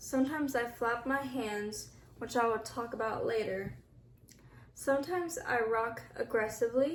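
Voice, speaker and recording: Over audible room echo, a woman with a high voice talks at a moderate pace with ordinary pitch variation. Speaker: vlogger, blind person. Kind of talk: personal explainer vlog. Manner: reading from a list, halting.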